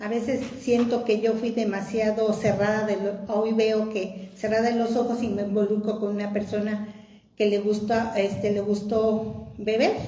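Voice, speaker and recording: A woman speaks at a fairly slow pace in a fairly high pitch with monotone, flat intonation. There is audible room echo and noticeable background noise. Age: 60s. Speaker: testimony giver. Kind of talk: personal testimony.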